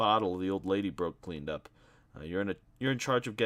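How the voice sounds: Natural reading voice, nothing more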